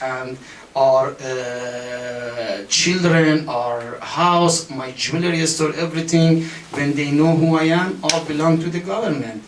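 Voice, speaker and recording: A man's voice amid noticeable background noise, with audible room echo. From Iran. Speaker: political activist. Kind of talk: testimony. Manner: halting.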